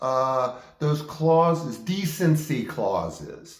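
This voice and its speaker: Fairly high-pitched male speech amid noticeable background noise. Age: 60s. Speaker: actor and video diarist. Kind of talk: personal monologue. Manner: animated.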